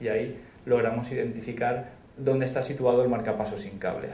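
This is a man talking. His voice carries audible room echo. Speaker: presenter. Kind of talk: lecture. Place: hall.

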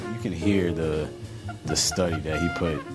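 A man talks at a moderate pace. Clear music can be heard in the background. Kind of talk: interview answer. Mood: warm, admiring. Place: studio.

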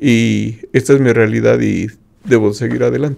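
All around is a quiet background. A man does the talking. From Mexico. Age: 50s. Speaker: retired IT professional with visual impairment; interview guest, host's father. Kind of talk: interview testimony. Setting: radio studio. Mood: calm, reflective. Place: studio. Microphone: studio mic.

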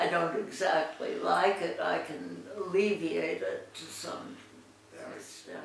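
A woman speaks at a very slow pace. Light background noise and audible room echo are present. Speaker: interviewee. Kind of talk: interview answer. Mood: reflective, calm. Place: home room. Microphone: camera far.

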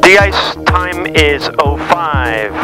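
A man talks with clear music in the background. The sound is dry, with no echo. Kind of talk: radio calls and checklist callouts. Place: plane. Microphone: headset.

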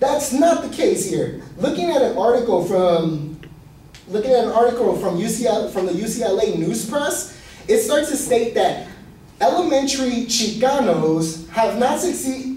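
Over light background noise and audible room echo, a man speaks at an extremely high pitch in a passionate tone. He takes a fairly slow pace with lively intonation. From Ecuadorian heritage. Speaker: student; presenter. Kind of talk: class speech. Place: classroom. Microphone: camera far.

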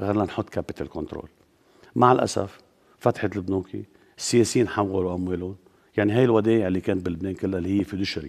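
Against a quiet background, a man with a very deep, low pitch talks very fast with fairly even intonation. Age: 60s. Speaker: politician. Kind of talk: TV interview. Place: studio.

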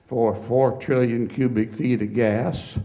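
A man's medium-pitched, dark, mellow voice at a very slow pace, fairly even in intonation, with audible room echo. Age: 70s. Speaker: petroleum geologist. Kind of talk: lecture. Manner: informal.

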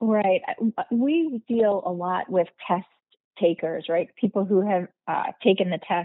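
A woman talks fairly slowly in an unremarkable speaking voice. Her pitch is medium, with ordinary pitch variation. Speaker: podcast host. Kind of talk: interview conversation.

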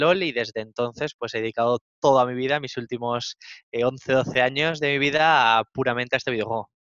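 A man at a fairly quick pace with fairly even intonation, the sound dry with no echo and the background quiet. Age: 30s. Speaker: esports coach. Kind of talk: interview. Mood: relaxed, content. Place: office. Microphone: headset.

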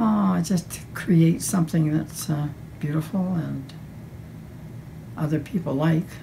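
Over light background noise, a woman speaks in a very deep, low voice with a dark, mellow tone, vocal fry and ordinary pitch variation. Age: 80s+. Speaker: painter. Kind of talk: interview answer. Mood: warm, fond. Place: home room.

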